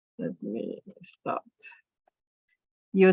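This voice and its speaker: A woman's fairly low voice with lively intonation, in a French accent. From France. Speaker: archaeologist and museum director. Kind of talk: academic talk. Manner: halting.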